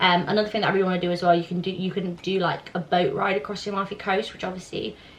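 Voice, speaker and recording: A woman's very fast, monotone, flat delivery over noticeable background noise. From southern Italy. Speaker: YouTuber. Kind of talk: casual Q&A chat.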